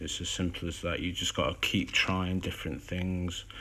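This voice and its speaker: A man's voice is heard. It sits very deep and low. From English Midlands, Derby. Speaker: miniature hobbyist streamer. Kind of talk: tutorial. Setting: Instagram live stream. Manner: casual, hesitant with fillers.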